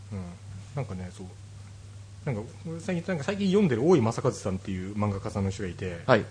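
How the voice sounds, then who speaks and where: A man talks at a very fast pace in a fairly low, somewhat breathy voice with ordinary pitch variation. Long pauses break up his speech often. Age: 30s. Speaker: podcast host. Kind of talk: casual chat.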